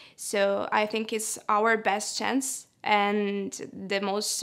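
Her intonation is monotone and flat. The woman speaks over a quiet background. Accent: Italian. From Italy. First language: Italian. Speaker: literary translator. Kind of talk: personal interview monologue. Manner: hesitant, with filler sounds. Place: studio. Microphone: lapel.

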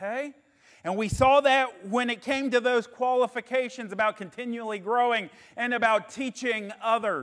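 The voice is loud, with fairly even intonation and a moderate pace, over a quiet background. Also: man, extremely high pitch for a man. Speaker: pastor. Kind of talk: sermon. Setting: re-recorded sermon video. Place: church. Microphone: lapel.

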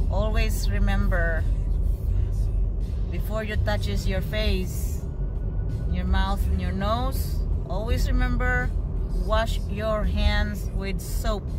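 The speaker moves at a very slow pace with long, frequent pauses and ordinary pitch variation, with music in the background. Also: woman. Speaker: family vlogger. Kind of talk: casual vlog chat. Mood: caring, advising safety. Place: car. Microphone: phone near.

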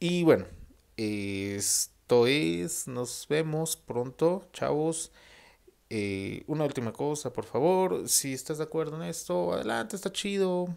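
Very slowly, a man with a Mexican accent speaks in a fairly high pitch that makes very wide swings. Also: quiet background. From Mexico. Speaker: vlogger. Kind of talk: casual monologue to camera. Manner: halting. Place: home room. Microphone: earbuds.

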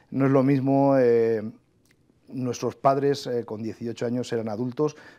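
Here a man talks in a dark, mellow tone. He keeps a moderate pace. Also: quiet background. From Spain, inland Valencia (Requena, Castilian-speaking); Valencia, Spain. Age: 40s. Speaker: government official and agricultural engineering professor; agricultural engineering professor. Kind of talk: TV interview. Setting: TV studio. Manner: hesitant, many fillers. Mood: calm, reflective. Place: studio. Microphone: lapel.

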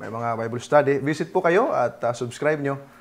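A man speaks at a moderate pace in an ordinary speaking voice, medium in pitch, against a quiet background. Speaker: debate moderator. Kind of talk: moderating a debate.

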